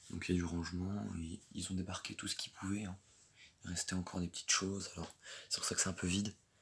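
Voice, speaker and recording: Very fast and monotone, a man speaks at a very deep, low pitch with flat intonation. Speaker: LEGO hobbyist youtuber. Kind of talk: casual show-and-tell. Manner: hesitant, many fillers.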